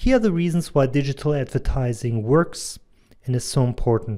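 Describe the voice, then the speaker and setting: Speaking with lively intonation, a man uses a fairly high pitch. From Germany, near Hanover. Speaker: digital advertising consultant and medical doctor. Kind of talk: presentation.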